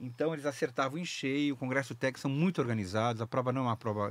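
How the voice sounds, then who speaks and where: A man speaks in a dry recording with no echo at all. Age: 60s. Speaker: open-water swimmer; podcast guest. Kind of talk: casual interview chat. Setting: studio. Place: studio. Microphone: studio mic.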